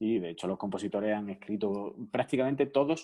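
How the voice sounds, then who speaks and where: An ordinary speaking voice from a man at a fairly quick pace. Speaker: classical pianist and piano teacher. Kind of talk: radio interview.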